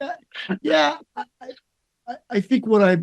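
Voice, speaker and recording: His pitch swinging very widely, a man speaks at a fairly slow pace. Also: dry, close sound with no echo. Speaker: interventional cardiologist. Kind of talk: interview. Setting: webinar video call. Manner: loud.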